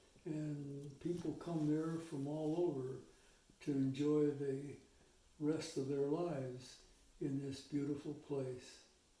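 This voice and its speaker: A man speaks very slowly in a monotone, flat delivery, his fairly high voice dark, mellow and somewhat breathy. Room echo is audible. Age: 80s+. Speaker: retired missionary. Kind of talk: interview. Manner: reflective, measured.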